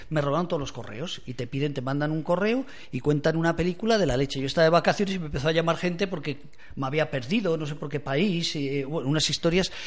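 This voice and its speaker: Pitched fairly high, a man speaks at a very fast pace with ordinary pitch variation. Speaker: radio host. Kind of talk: casual chat. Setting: studio.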